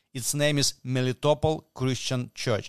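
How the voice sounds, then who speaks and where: A man speaks with a Ukrainian accent. The sound is dry and close with no echo, over a quiet background. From Ukraine. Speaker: pro-family movement leader. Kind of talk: interview. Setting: shared mic in hotel room. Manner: halting.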